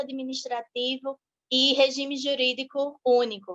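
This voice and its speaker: A woman's high-pitched voice in a Sergipe accent. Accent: northeastern Brazilian (Sergipe), noticeable. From Brazil, Sergipe (Aracaju). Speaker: law teacher and legal analyst. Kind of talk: online lecture.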